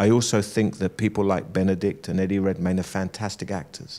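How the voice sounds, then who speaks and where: This man talks at a moderate pace in a fairly low pitch. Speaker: actor guest. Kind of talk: interview answer. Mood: earnest, thoughtful. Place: studio. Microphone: handheld.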